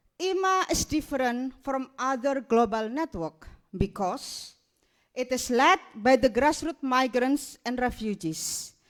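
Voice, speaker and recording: Speaking at a fairly slow pace, a woman with an Indonesian accent and a high pitch uses lively intonation. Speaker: migrants rights activist. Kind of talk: keynote speech. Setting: stage with audience.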